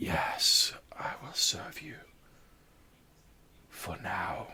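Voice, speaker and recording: Whispering, a man performs a put-on character voice. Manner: eerie.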